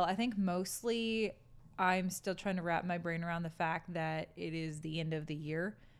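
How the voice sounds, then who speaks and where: A woman's fairly low pitch in a plain, everyday voice, moderate pace and fairly even intonation, on a very clean recording with a silent background. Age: 30s. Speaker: podcast host's wife. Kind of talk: casual chat. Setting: home kitchen.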